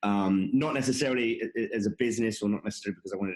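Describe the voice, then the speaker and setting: This man has an American accent. He talks at a very fast pace. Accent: English accent with an American twang. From England, London. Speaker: conference founder and tech executive. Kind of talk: podcast interview. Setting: video call. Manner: halting, many fillers and repetitions.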